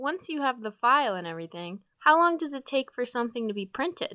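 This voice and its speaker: On a very clean recording with a silent background, a woman with an American accent talks at a fairly quick pace with hardly any pauses, her high voice raised and projected, bright and sharp in tone, with very wide pitch swings. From Utah. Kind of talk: scripted student podcast conversation.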